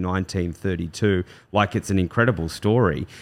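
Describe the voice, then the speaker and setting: With an Australian accent, a man speaks at a moderate pace in a very deep, low pitch with fairly even intonation, on a very clean recording with a silent background. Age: 40s. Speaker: real estate agency director. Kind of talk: casual chat.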